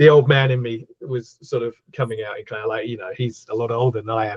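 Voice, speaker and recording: Speaking with an Australian accent, a man talks at a fairly quick pace and a medium pitch. His voice is somewhat breathy, and his intonation fairly even. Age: 50s. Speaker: horror author. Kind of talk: casual interview chat.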